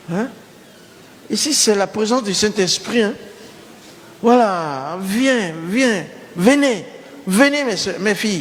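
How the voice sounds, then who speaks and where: Amid noticeable background noise and audible room echo, a man speaks with lively intonation. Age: 70s. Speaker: pastor. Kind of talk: sermon. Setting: church. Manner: animated.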